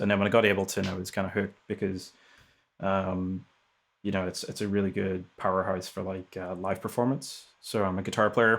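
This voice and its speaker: A man with a fairly low pitch speaks fairly quickly in a monotone, flat intonation on a very clean recording with a silent background. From Northern Ireland. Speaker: music technologist and producer. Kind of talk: casual interview chat. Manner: hesitant, many fillers.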